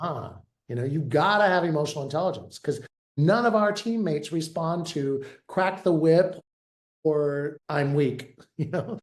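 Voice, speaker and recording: At a moderate pace, a man with a normal speaking voice talks at a fairly high pitch with ordinary pitch variation. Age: 60s. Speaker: therapist turned veterinary leadership consultant. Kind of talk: interview. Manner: casual, conversational with fillers.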